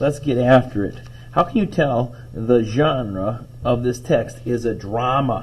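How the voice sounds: The clip presents a natural reading voice whose pitch varies in an ordinary way.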